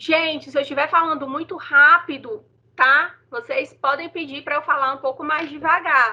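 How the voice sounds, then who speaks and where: A raised, projected female voice, high in pitch, with a bright, sharp tone, moderate pace, and ordinary pitch variation. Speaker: teacher. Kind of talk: online lecture.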